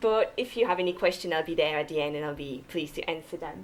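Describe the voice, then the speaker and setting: A woman speaks with a French Canadian accent. Noticeable background noise runs behind her. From Quebec, French Canada. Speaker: cardiologist and mountaineer. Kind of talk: public lecture.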